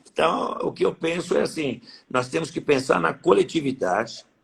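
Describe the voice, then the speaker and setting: A man's speech has lively intonation and moves at a moderate pace. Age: 60s. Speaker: horse breeders' association president. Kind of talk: interview.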